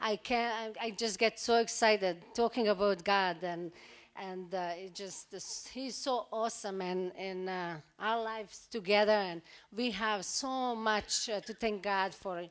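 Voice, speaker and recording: Speaking fairly slowly with a normal speaking voice, a woman at medium pitch keeps her intonation fairly even while her loudness swings widely. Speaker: pastor's wife, visiting speaker. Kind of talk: church greeting. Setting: church.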